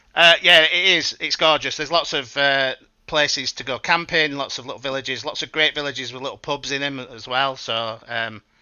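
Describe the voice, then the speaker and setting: A man with a Yorkshire accent at a fairly high pitch, fairly quick in pace, with fairly even intonation and big swings in loudness. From West Yorkshire, Bradford/Keighley area, northern England. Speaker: podcast guest, chat moderator. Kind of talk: casual chat.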